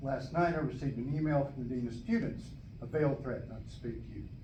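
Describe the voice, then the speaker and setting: Vocal fry runs through a man's dark, mellow tone. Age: 70s. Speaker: law student. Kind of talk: public testimony to a board.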